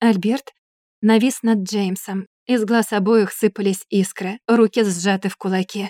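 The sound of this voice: The intonation is fairly even. It is an unforced reading voice over a quiet background.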